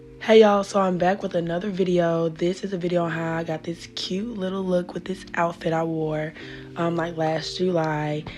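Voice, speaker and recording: At a moderate pace, the voice stays monotone and flat in intonation over background music. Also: woman, fairly low pitch for a woman. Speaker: beauty vlogger. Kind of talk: tutorial. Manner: low energy.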